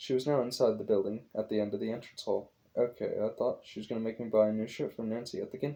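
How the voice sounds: Ordinary pitch variation shapes this natural reading voice.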